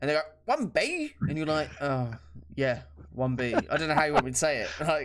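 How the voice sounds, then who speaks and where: A voice with a British accent talks at a fairly quick pace over noticeable background noise. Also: man. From Britain. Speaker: podcast co-host. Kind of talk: casual chat.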